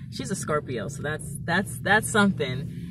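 A woman with a very deep, low voice talks with lively intonation over noticeable background noise, the sound dry with no echo. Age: 20s. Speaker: vlogger. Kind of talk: casual vlog monologue. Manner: animated. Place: car. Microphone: phone near.

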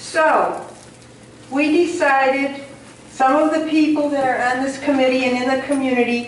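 A woman speaks with a high pitch and fairly even intonation at a moderate pace. Light background noise and audible room echo are present. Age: 70s. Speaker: community committee chair and meeting moderator. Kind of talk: public meeting moderation. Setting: public meeting with audience and microphone. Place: hall. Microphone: camera far.

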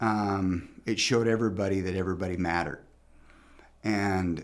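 Speaking at a fairly slow pace, a man uses a fairly low pitch and fairly even intonation. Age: 40s. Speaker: attorney and podcast host; attorney, podcast host. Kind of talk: casual interview chat. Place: studio. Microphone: studio mic.

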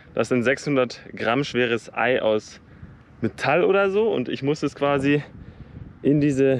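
A man speaks with long, frequent pauses. The sound is dry, with no echo. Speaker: sports vlogger. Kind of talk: casual vlog chat. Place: open country. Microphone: phone near.

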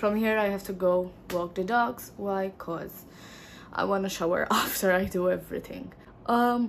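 A woman talks at a moderate pace. Her intonation is fairly even, with light background noise. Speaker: beauty vlogger. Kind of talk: casual vlog chat. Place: home room. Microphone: phone near.

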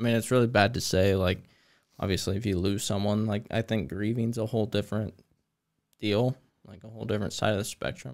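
A man talks, his pitch varying in an ordinary way. Behind him, all is quiet. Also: fairly low pitch for a man, fairly quick pace. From US, Greene County; US. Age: 20s. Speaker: landscape designer and first responder; podcast guest. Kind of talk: casual chat. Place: studio. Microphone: studio mic.

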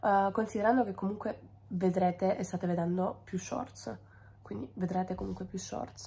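This woman's voice has a dark, mellow tone with vocal fry. She talks at a moderate pace with ordinary pitch variation. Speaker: food content creator. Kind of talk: casual vlog chat. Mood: frustrated, wry. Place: kitchen. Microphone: phone near.

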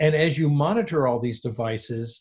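A somewhat breathy man at a medium pitch, fairly slow pace. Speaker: pediatrics professor and FASD expert. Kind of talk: interview discussion.

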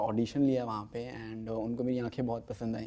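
Delivered at a moderate pace, this man's speech is monotone and flat. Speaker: interview guest, actor. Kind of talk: interview answer. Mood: cheerful, laughing. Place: studio.

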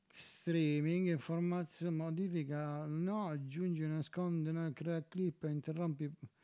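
Against a quiet background, a dark, mellow voice speaks at a very slow pace. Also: man. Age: 40s. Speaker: streamer. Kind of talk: casual live stream chat. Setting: home. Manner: animated. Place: home room. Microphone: new home audio setup.

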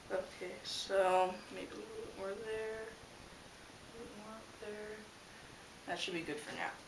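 Someone mumbles at a fairly slow pace over noticeable background noise. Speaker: model railroad hobbyist. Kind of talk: casual tutorial talk to camera. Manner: mumbling. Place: home room. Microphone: camera far.

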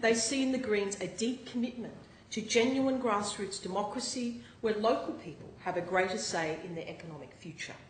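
A woman's fairly high pitch and lively intonation, with big swings in loudness, audible room echo and light background noise. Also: moderate pace. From northern New South Wales, Australia. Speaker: newly elected state MP. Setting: parliament chamber, Legislative Assembly. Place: hall. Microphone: podium.

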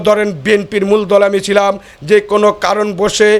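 The man's voice is high in pitch. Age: 50s. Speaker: local political activist. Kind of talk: interview testimony. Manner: halting.

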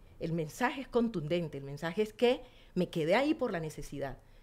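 Her pitch swings very widely as a woman talks at a fairly quick pace. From Colombian Pacific coast, Nuquí in Chocó; Colombia. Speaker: community tourism leader; guest. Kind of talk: interview conversation. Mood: earnest, emotional, expressive. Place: studio. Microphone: studio mic.

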